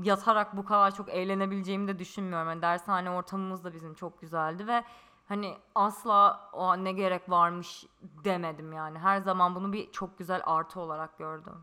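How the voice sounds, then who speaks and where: A woman talks in an ordinary speaking voice, her pitch medium, pace moderate and intonation fairly even. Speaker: podcast co-host. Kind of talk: casual chat. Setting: in-person shared microphone.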